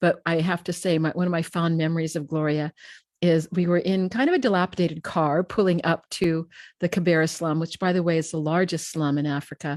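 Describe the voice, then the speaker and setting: A woman speaks in a normal speaking voice at a fairly low pitch. The pace is fairly quick, and the sound is dry and close with no echo. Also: fairly even intonation. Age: 60s. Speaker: talk show host. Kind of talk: live interview introduction. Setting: live streamed online show.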